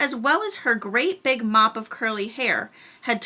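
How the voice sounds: Lively intonation in a natural reading voice.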